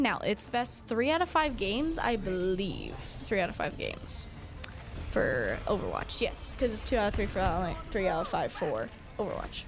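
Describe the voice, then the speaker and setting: A woman talks in an animated tone at a moderate pace. Music plays in the background, and there is audible room echo. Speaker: esports commentator. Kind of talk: live commentary. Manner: loud.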